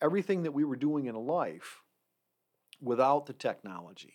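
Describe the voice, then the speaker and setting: Someone with an American accent speaks with lively intonation in a very clean recording with a silent background. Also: man. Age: 50s. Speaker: campus safety director. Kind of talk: casual chat. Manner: halting.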